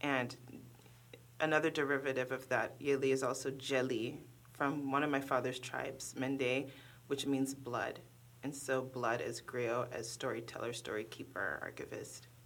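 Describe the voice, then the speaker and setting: Flat, monotone speech in an American accent at a moderate pace. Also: woman, very deep, low pitch for a woman. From Oakland, California. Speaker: poet and professor. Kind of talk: poetry reading and interview.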